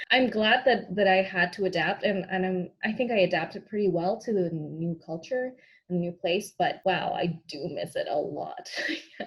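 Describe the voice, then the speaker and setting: Speaking at a moderate pace with a Spanish accent, a woman sounds somewhat breathy and shows ordinary pitch variation. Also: medium pitch for a woman. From Peru, Lima. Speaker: actor. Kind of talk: interview.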